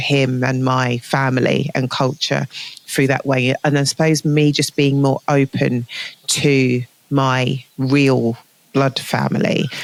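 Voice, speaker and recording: Fairly slow and flat in a monotone, a woman with a southern English accent speaks at a very deep, low pitch, the sound dry and close with no echo but with noticeable background noise. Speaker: healthcare manager. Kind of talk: interview conversation. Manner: hesitant, filler-heavy.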